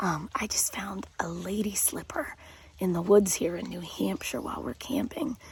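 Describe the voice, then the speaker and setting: A woman speaks quietly at a moderate pace. Noticeable background noise runs underneath. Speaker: science teacher / educational video host. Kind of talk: educational talk to camera. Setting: outdoors at a campground in the rain. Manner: quiet, subdued voice.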